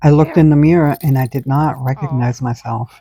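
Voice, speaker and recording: Recorded very clean with a silent background, a woman speaks at a moderate pace with a very deep, low pitch and a dark, mellow tone, the sound dry and close with no echo. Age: 60s. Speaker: mother and former caregiver. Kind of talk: personal reflective talk to camera. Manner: reflective, earnest.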